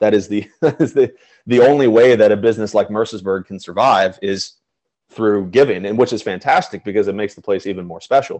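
Fairly low in pitch with ordinary variation, a man speaks at a fairly quick pace in a Mid-Atlantic accent. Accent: American, Mid-Atlantic. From Pennsylvania, Chambersburg. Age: 20s. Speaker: school alumnus, golfer and philanthropist. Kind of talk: interview, casual chat. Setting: video call.

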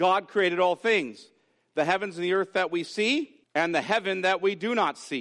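A natural reading voice comes through with little sound behind it.

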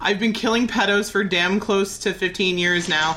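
Her voice plain and everyday, a woman talks at a fairly quick pace with medium pitch and fairly even intonation. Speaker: podcast host. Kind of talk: casual chat.

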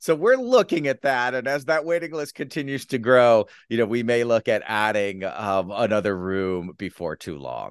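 Against a quiet background with a dry, close sound and no echo, a man in an ordinary speaking voice talks at a medium pitch and moderate pace with lively intonation. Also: hardly any pauses. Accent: American. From US Midwest, Detroit, Michigan. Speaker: sketch comedy writer and teacher. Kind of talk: casual interview chat.

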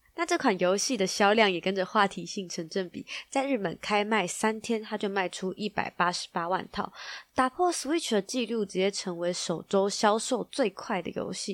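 A woman with a Taiwanese accent speaks at a medium pitch and a moderate pace, her tone playful and animated and her intonation lively. The recording is very clean, with a silent background and a dry, close sound with no echo. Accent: Taiwanese Mandarin. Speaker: tech news podcast host. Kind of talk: news roundup, casual. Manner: playful, animated.

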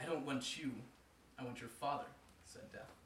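Background noise is noticeable here. The speaker is a man. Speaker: co-host and reader of a folk tale. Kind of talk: casual banter hosting, then reading a story aloud. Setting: live show with audience.

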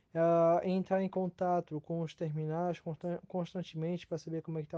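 A man with a fairly high voice and a dark, mellow tone speaks at a moderate pace in a flat monotone, recorded dry and close with no echo. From Brazil, Itajaí, Santa Catarina. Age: 20s. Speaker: port traffic controller. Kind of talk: recorded self-introduction. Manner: halting, many fillers.

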